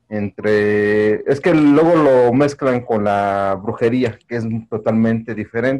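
A man with a Mexico City accent and ordinary pitch variation. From Mexico City, Iztapalapa. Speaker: audience member. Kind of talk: Q&A comment. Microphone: video call.

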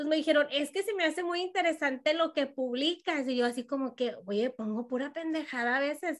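A woman's high-pitched voice at a fairly quick pace, hardly any pauses, quiet background. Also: ordinary pitch variation. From Mexico, Jalisco. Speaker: radio host. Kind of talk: casual chat. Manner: animated.

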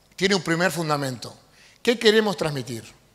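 A man speaks with a fairly high pitch and a fairly bright tone. His intonation is lively and his pace moderate.

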